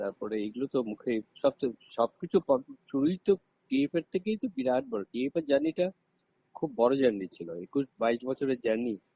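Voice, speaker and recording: Medium in pitch, a man's voice makes very wide pitch swings. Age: 60s. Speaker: football coach. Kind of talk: interview. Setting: phone call.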